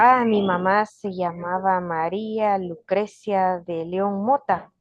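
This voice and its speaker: A woman with a medium-pitched voice speaks very slowly, her intonation fairly even. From Guatemala, Kaqchikel Maya community. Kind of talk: interview. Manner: halting.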